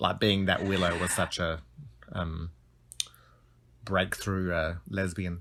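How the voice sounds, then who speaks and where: A man with an Australian accent, a very deep, low pitch and a bright, sharp tone, flat and monotone, very slow with long, frequent pauses. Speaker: podcast guest. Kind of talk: casual chat.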